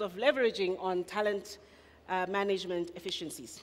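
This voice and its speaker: A woman at a medium pitch, speaking at a fairly quick pace. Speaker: municipal talent management official. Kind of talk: conference presentation. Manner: fast.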